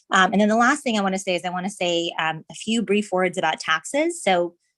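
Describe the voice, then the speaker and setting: A woman with an unremarkable speaking voice talks at a fairly quick pace, medium in pitch with ordinary pitch variation. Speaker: resident speaking at public meeting. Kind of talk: public comment.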